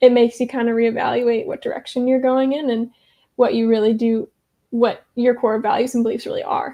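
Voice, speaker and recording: With an American accent, a woman talks at a fairly quick pace in a high pitch. Her tone is dark and mellow, with ordinary pitch variation. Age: 20s. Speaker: church coordinator. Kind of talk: podcast interview. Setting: video call.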